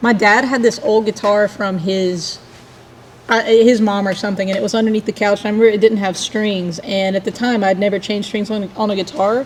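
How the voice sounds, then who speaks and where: A woman with a Southern US accent at a fairly quick pace, monotone and flat, over noticeable background noise. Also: medium pitch for a woman. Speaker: singer and guitarist in a cowpunk band. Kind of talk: casual chat.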